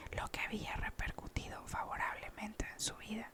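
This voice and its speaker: A whispering voice moves at a fairly slow pace amid noticeable background noise. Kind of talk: whispered audiobook reading. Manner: whispered, soft-spoken.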